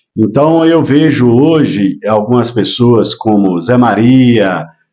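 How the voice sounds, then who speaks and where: Speaking at a very slow pace, a man with a medium pitch and a dark, mellow tone uses lively intonation. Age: 60s. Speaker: businessman and former mayoral candidate. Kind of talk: casual interview chat. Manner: hesitant, many filler words.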